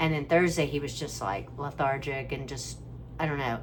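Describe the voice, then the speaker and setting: Audible room echo follows a woman speaking at a moderate pace. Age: 60s. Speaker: family caregiver vlogger. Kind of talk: casual vlog monologue. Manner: halting, conversational.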